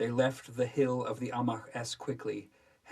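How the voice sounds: This is a natural reading voice. It is delivered as read text.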